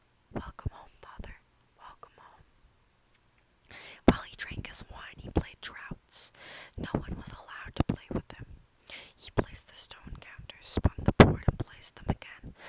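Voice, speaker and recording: Someone whispers with long, frequent pauses. Noticeable background noise runs underneath. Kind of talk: sleep story reading. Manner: soft-spoken.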